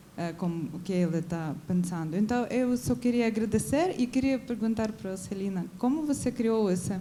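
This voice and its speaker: A woman speaks at a moderate pace with a Ukrainian accent, her fairly high pitch carried by lively intonation and hardly any pauses. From Ukraine. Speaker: audience member. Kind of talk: audience question at a film debate. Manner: halting, with false starts.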